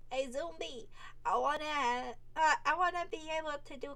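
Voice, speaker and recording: At a fairly slow pace, a woman speaks. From Netherlands. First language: Dutch. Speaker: vtuber. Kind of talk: casual monologue. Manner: rambling, halting with repeated words.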